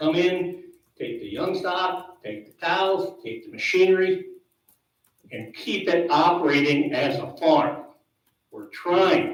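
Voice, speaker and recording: Someone with an American accent speaks at a very slow pace, with audible room echo. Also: man. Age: 70s. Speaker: dairy farmer. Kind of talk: public meeting comment.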